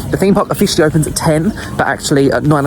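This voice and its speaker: A man speaks at a very fast pace with an Essex accent and an animated tone. Music plays in the background. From Essex, England. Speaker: travel and theme park vlogger. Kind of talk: vlog narration.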